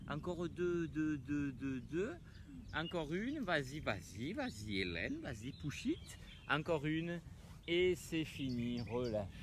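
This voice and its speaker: A man speaks very slowly with lively intonation. The sound is dry with no echo, though background noise is noticeable. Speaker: fitness instructor. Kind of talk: exercise class coaching. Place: open country.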